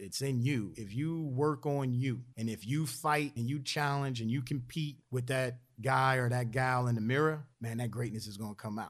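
With a Philadelphia accent, a man talks at a moderate pace and with ordinary pitch variation in a very clean recording with a silent background. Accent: Philadelphia American. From US, Philadelphia. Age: 40s. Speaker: Air Force senior enlisted leader. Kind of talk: podcast interview.

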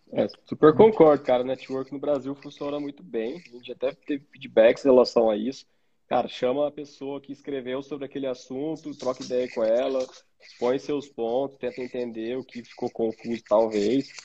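A man's dark, mellow voice rises and falls widely in loudness. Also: medium pitch for a man, fairly even intonation, moderate pace. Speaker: podcast co-host, product manager. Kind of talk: casual chat.

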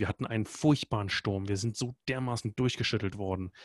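Against a quiet background, a man with a fairly low pitch and fairly even intonation talks at a moderate pace, the sound dry and close with no echo. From Germany (Berlin). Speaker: expedition guide. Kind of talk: interview. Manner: hesitant, many filler sounds.

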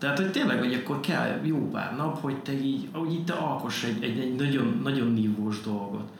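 Very fast, lively speech with hardly any pauses, audible room echo and noticeable background noise. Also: man, medium pitch for a man. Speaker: graphic designer. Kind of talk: casual chat.

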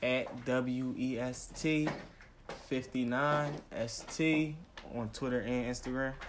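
The man talks at a very slow pace with fairly even intonation. There is audible room echo and noticeable background noise. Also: medium pitch for a man. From US, West Philadelphia. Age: 20s. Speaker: rapper. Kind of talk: casual interview. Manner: halting, hesitant.

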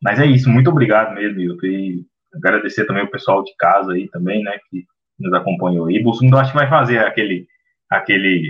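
Using a normal speaking voice, a man talks at a fairly quick pace with a fairly low pitch and ordinary pitch variation. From Brazil, Minas Gerais. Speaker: co-host, teacher. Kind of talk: casual discussion podcast.

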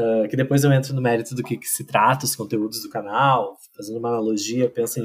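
A man talks in a normal speaking voice at medium pitch with fairly even intonation. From Rio Grande do Sul, Brazil (interior, Pantano Grande). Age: 40s. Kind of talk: casual podcast interview. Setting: video call recording at home.

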